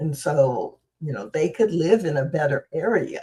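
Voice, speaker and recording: The woman's pitch is very deep and low, with a dark, mellow tone. Her voice is somewhat breathy. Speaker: spiritual practitioner and show host. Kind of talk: talk on inclusive ministry. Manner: halting; slow.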